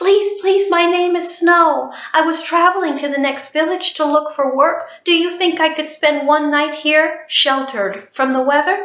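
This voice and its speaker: Moderate delivery in a put-on character voice. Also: woman, extremely high pitch for a woman. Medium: read story.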